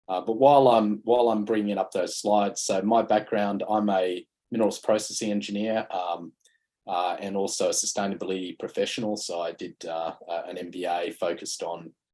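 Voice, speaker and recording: Speaking at a fairly quick pace with an Australian accent, a man uses a fairly low pitch, fairly even intonation and a dark, mellow tone. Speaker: mining sustainability consultant, panelist. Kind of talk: conference panel presentation. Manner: halting with frequent fillers.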